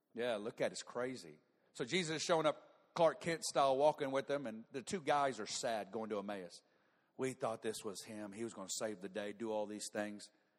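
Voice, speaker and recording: With an American accent, this speaker sounds animated and talks at a fairly quick pace. The intonation is lively. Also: man, medium pitch for a man. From US South, Northwest Arkansas. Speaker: preacher. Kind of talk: revival-style conference sermon, storytelling through scripture with playful asides. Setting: stage with audience. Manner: animated, punchy and conversational, acting out dialogue with comic voices and sounds.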